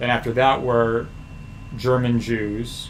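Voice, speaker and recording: With an American accent, a man speaks at a medium pitch amid audible room echo. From US Midwest (Missouri, Chicago). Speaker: history streamer. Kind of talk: casual livestream chat. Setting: livestream with screen share. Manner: loud.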